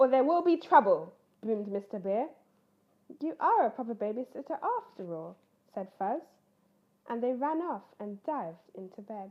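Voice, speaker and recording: High female pitch, very wide pitch swings, and a moderate pace from a woman. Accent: British. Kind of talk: children's story read-aloud.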